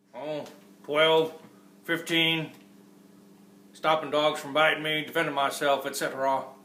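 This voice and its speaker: In a put-on character voice, a man speaks gruffly at a fairly high pitch, drawling at a moderate pace with long, frequent pauses and a monotone, flat intonation. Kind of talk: western movie parody. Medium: comedy sketch. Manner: gruff, laconic drawl with rural grammar.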